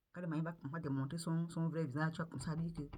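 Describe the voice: A woman's low, dark, mellow voice at a fast pace, with fairly even intonation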